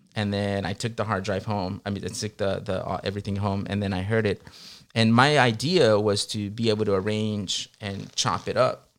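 On a very clean recording with a silent background, a man with a fairly low voice speaks at a moderate pace with fairly even intonation, using a normal speaking voice. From Long Beach, California; Mexican immigrant family. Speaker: music producer and DJ. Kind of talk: casual interview chat.

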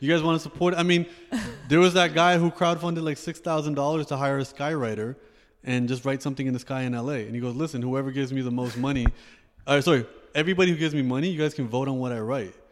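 At a very fast pace, a man speaks with fairly high pitch and ordinary pitch variation. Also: very clean recording, silent background. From Canada, Toronto. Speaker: rapper, poet and author. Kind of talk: casual interview chat.

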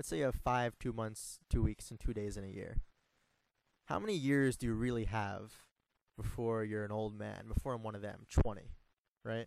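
A man speaks at a medium pitch and a moderate pace. His intonation is fairly even, and he leaves long, frequent pauses. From New York suburbs. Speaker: writer and artist. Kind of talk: casual interview. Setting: motel room. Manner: halting, many fillers.

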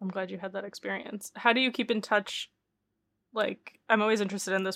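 A woman with an American accent talks at a fairly quick pace in a normal speaking voice of medium pitch, in a dry, close sound with no echo, a very clean recording with a silent background. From Michigan, Detroit. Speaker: podcast co-host. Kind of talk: casual chat. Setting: home living room recording.

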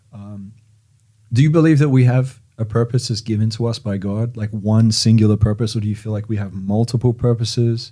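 His voice is somewhat breathy. The man's tone is dark and mellow. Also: medium pitch for a man, fairly even intonation. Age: 30s. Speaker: podcast host. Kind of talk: interview.

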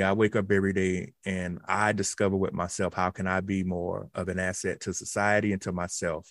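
A man with a Southern US accent and a very deep, low pitch talks at a fairly quick pace with hardly any pauses and monotone, flat intonation, in a very clean recording with a silent background. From South Carolina. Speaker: automation researcher. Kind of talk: radio interview.

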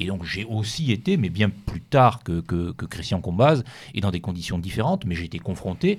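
Set against a silent background in a very clean recording, the somewhat breathy voice moves at a moderate pace with lively intonation. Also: man. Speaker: author. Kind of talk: radio interview.

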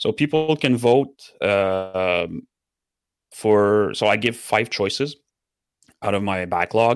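In a French Canadian accent, a man speaks with a fairly low pitch and ordinary pitch variation in a very clean recording with a silent background. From Quebec. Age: 40s. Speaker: community member and streamer.

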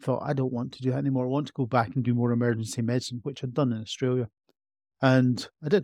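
In an Edinburgh accent, a man talks at a very fast pace with a dark, mellow tone and medium pitch. His intonation is fairly even, and the sound is dry and close with no echo. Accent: Scottish (Edinburgh). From Scotland, Edinburgh. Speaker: emergency medicine doctor. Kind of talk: interview.

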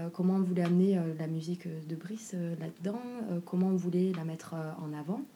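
A woman with a fairly low pitch and a dark, mellow, somewhat breathy tone speaks at a moderate pace with fairly even intonation. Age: 30s. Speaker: music label cofounder. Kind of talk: interview.

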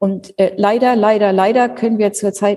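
This woman has a normal speaking voice at a medium pitch. Her intonation stays fairly even. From northern Germany (Schleswig-Holstein). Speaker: university president. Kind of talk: interview.

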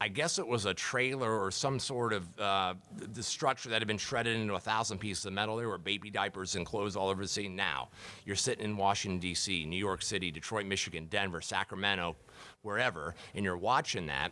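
A man's bright, sharp tone, fairly low in pitch, with ordinary pitch variation and a very fast pace. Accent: American. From US Midwest (Dayton, Ohio). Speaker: crisis communication consultant and keynote speaker. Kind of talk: interview.

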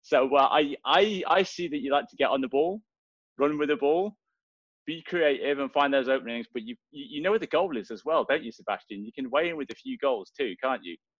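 With a Welsh accent, a man speaks fairly quickly in a fairly high pitch, his intonation lively and his loudness swinging widely. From Wales, Swansea. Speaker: soccer podcast co-host. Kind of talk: casual chat.

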